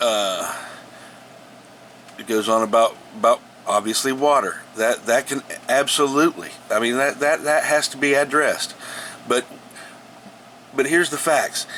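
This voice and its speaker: There is noticeable background noise as a man talks at a moderate pace. His speech has long, frequent pauses. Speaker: home gardener sharing tips. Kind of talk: casual tutorial. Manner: halting, many repetitions and fillers.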